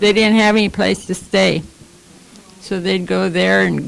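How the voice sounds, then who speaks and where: Noticeable background noise accompanies a woman who speaks at a moderate pace. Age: 80s+. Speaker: former wartime shipyard worker. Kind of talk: casual chat.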